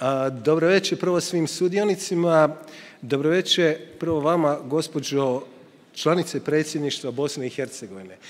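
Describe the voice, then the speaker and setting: This man has a plain, everyday voice, fairly high in pitch, and keeps a moderate pace. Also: ordinary pitch variation. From Croatia. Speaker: journalist, panel moderator. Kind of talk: panel moderation.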